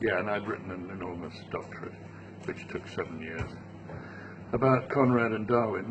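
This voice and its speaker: A man speaks with ordinary pitch variation. Noticeable background noise and audible room echo accompany him. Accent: British. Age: 70s. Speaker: travel writer. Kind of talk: interview. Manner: halting.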